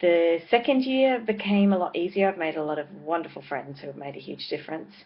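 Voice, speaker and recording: A woman with an Australian accent speaks at a fairly low pitch. Her loudness swings widely over noticeable background noise. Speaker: vlogger and parenting blogger. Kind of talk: casual vlog monologue. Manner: hesitant, with many fillers.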